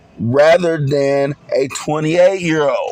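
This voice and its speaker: A man with a Southern US accent talks at a fairly high pitch. Noticeable background noise can be heard. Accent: Southern country. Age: 40s. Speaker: podcast host. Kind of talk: podcast monologue. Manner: casual.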